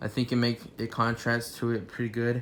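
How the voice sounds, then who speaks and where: A man's voice at medium pitch and a moderate pace. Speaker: toy reviewer. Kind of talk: product review. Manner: halting, filler-heavy; casual.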